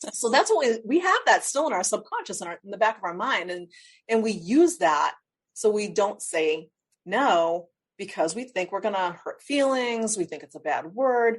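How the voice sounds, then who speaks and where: Here is a plain, everyday voice from a woman with a fairly high pitch. She keeps a moderate pace and her intonation is lively. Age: 50s. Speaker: life strategist. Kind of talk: interview.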